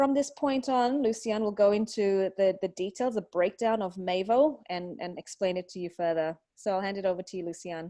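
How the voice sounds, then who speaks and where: A woman with an Australian accent, a dark, mellow tone, ordinary pitch variation, moderate pace, hardly any pauses, and a quiet background. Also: medium pitch for a woman. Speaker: online marketing webinar presenter. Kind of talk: webinar presentation.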